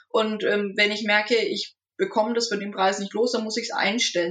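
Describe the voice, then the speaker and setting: Fairly high for a woman, her voice moves at a fairly quick pace and is an ordinary speaking voice. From Franconia, Nuremberg. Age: 20s. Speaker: agriculture student. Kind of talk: casual chat.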